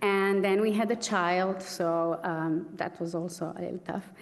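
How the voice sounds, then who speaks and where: Speaking at a fairly slow pace, a woman of medium pitch has a strong Slovenian accent and fairly even intonation. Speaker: pianist, award recipient. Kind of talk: acceptance speech.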